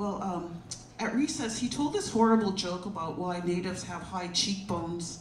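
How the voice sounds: A woman speaks at a moderate pace, with audible echo from the room around her.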